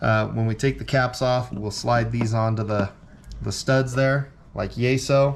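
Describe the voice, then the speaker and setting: In a plain, everyday voice, a man speaks at a medium pitch and a fairly slow pace. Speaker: race car builder and channel host. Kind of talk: hands-on tutorial. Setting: home garage. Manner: casual with many fillers.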